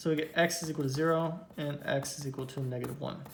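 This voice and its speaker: Audible room echo colors the recording. A man speaks at a moderate pace with fairly even intonation. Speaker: math teacher. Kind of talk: lecture.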